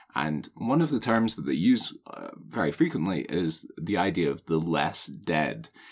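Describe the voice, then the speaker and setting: Very deep and low, a man's voice carries vocal fry and very wide pitch swings at a fairly slow pace. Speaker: podcast co-host. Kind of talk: casual chat.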